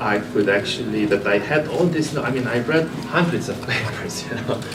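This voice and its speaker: In a Romanian accent, a man speaks at a moderate pace with lively intonation, with audible room echo and noticeable background noise. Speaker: biochemistry professor. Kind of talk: career talk. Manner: halting.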